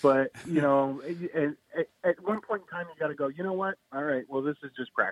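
A man with an American accent speaks in an ordinary speaking voice, pitched fairly high and moving at a fairly quick pace. His pitch varies in an ordinary way, and the sound is dry and close with no echo. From US Midwest, Quad Cities. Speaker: stand-up comedian. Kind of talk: casual chat.

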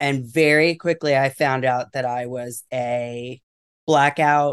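In a quiet background, a man with a plain, everyday voice and an American accent speaks at a fairly high pitch with fairly even intonation. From New York City area. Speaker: educator. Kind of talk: recovery testimony interview.

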